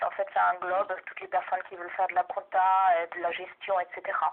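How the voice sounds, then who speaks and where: A woman's medium-pitched voice with a German accent. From Germany. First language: German (speaking French). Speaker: doctoral researcher and language teacher. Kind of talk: research interview. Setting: phone call. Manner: hesitant, many fillers.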